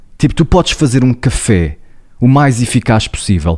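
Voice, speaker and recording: This man's voice comes through a very clean recording, with a silent background. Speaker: psychologist and podcast co-host. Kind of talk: casual chat. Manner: loud, declamatory.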